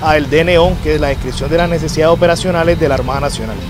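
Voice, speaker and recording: Clear music plays behind a man whose voice sounds dry with no echo. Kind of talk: project presentation. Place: open country.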